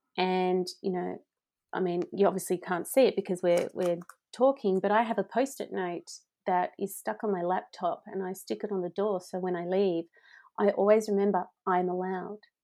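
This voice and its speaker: In a very clean recording with a silent background, a woman with an Australian accent talks in a dark, mellow tone with fairly even intonation. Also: medium pitch for a woman, moderate pace. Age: 40s. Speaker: happiness coach. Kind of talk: interview.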